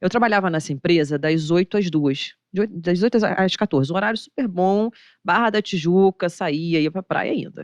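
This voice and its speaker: In a Rio de Janeiro accent, a woman talks at a moderate pace with an animated tone, a fairly low pitch and ordinary pitch variation, in a dry, close sound with no echo over a quiet background. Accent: Rio de Janeiro (carioca). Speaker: investment manager. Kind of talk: podcast interview.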